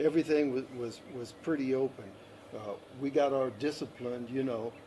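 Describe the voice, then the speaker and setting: A man talks at a moderate pace, his pitch medium. His intonation stays fairly even, with noticeable background noise present. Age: 70s. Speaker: interviewee sharing life experience. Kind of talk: interview.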